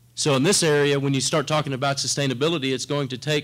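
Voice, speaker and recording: A man speaks with a South Texas accent. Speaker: corporate government relations director. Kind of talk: conference presentation.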